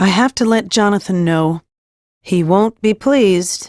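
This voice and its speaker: A woman speaks in a put-on character voice at medium pitch and a moderate pace, with ordinary pitch variation, recorded dry and close with no echo against a silent background. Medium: read story.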